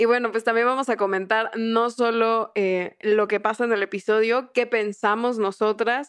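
Speaking at a very slow pace, the woman has a fairly high pitch. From southern Mexico. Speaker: podcast co-host and producer. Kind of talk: casual chat.

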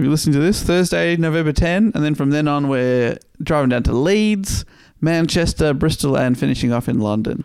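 Lively intonation and a fairly quick pace from a man with an unremarkable speaking voice, fairly high in pitch. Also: very even loudness. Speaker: comedian. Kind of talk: casual chat. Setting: indoors in an Airbnb.

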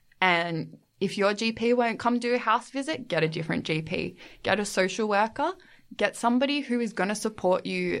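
The woman talks at a fairly quick clip with lively intonation and a fairly high pitch. The background is quiet. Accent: Australian. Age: 20s. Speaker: podcast guest, master's student. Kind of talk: casual chat.

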